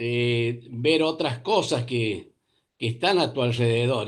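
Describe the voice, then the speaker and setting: Over a quiet background, a man speaks at a very slow pace, medium in pitch with ordinary pitch variation. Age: 60s. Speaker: retired pediatrician, seminar participant. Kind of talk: casual chat.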